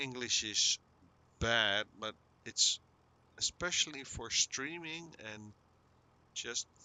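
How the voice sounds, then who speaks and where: Lively in intonation, a man speaks with big swings in loudness and long, frequent pauses. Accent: Dutch. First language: Dutch. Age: 50s. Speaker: gaming streamer. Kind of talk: casual chat. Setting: live stream. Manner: halting; soft-spoken.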